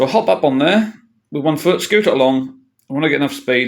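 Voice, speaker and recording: A man with a Norfolk accent, medium pitch and lively intonation. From Norfolk, England. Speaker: tall bike builder and rider. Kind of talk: casual talk to camera. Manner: hesitant, many filler sounds.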